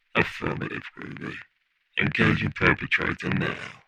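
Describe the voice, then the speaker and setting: A man talks at a moderate pace. He uses a put-on character voice. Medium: audio drama.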